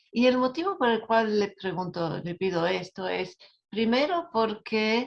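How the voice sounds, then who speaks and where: Here a woman talks at a fairly slow pace. Her pitch is fairly high. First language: not Spanish (Spanish is her second language) (speaking Spanish). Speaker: academic speaker. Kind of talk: webinar lecture. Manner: halting, stumbles over words.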